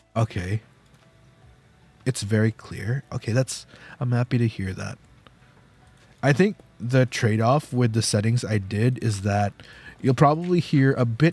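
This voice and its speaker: Soft-spoken and somewhat breathy, a man talks at a fairly slow pace and a medium pitch with ordinary pitch variation, in a dry, close sound with no echo. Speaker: vtuber streamer. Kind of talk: casual chat. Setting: live stream. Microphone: new audio settings, more background noise.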